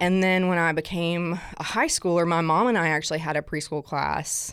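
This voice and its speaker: A woman talks at a fairly quick pace with vocal fry. She has a slight Southern US accent. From South Alabama. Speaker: guest experience director at a church. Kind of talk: casual interview chat.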